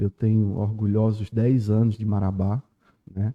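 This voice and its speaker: Speaking fairly slowly, a man uses a medium-pitched voice. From Pernambuco backlands, northeast Brazil. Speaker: lawyer. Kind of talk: podcast interview.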